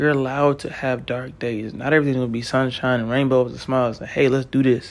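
A man talks at a fairly quick pace. His is a normal speaking voice, medium in pitch. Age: 30s. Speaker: self-help podcast host. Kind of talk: motivational monologue. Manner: casual, conversational.

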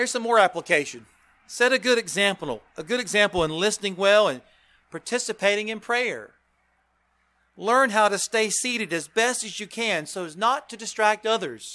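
His voice raised and projected, a high-pitched man speaks in a bright, sharp tone with ordinary pitch variation. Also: moderate pace. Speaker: preacher. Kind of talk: sermon. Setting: church.

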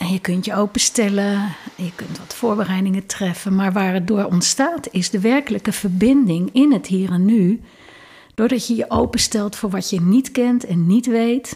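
Somewhat breathy and dark, mellow in tone, a woman talks at a medium pitch and moderate pace with ordinary pitch variation. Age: 60s. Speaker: leadership consultant and lecturer. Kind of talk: interview conversation.

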